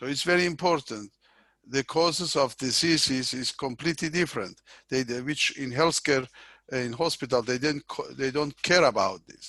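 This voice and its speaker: Bright and sharp in tone, a man speaks with a non-native accent at a fairly high pitch with ordinary pitch variation. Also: moderate pace. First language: not English. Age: 60s. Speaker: professor. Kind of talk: interview. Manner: halting.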